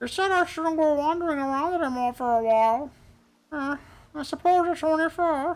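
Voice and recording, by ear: A put-on character voice with a high pitch moves at a fairly quick pace on a very clean recording with a silent background.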